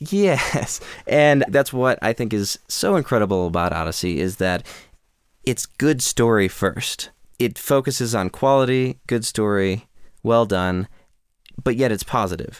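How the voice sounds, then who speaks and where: This man has a plain, everyday voice at a medium pitch. He talks at a fairly slow pace with lively intonation. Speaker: podcast host. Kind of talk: casual interview chat.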